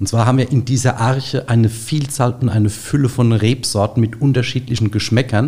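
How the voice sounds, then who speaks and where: The tone is dark, mellow and somewhat breathy, with fairly even intonation. Delivery is fairly quick, with hardly any pauses. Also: man, medium pitch for a man. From Rheinhessen, Germany. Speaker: grapevine nursery owner. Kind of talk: interview. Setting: studio.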